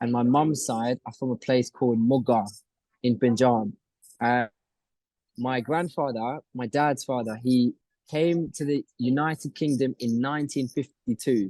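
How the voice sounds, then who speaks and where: The sound is dry and close with no echo as a man with a dark, mellow tone speaks at a medium pitch, at a fairly slow pace and with fairly even intonation. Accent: London. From North London, England. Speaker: reality TV contestant and entrepreneur. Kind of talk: interview.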